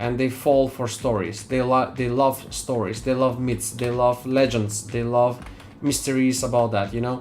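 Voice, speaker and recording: A man at a medium pitch and moderate pace, monotone and flat, with a non-native accent and noticeable background noise. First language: not English. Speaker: 3D artist streamer. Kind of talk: live stream chat while working. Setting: live stream. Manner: halting.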